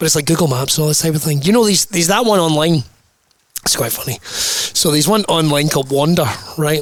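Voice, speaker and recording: Very fast speech in a Scottish accent, with ordinary pitch variation. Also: man, fairly high pitch for a man. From Scotland. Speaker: podcast host. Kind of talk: casual chat.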